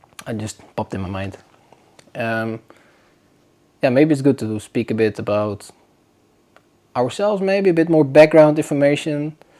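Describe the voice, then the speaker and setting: A man with a Dutch accent and a fairly high pitch, lively in intonation with big swings in loudness, at a moderate pace with long, frequent pauses. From northern Netherlands. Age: 20s. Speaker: podcast host. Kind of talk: casual chat. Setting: home, on a sofa. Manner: casual, hesitant.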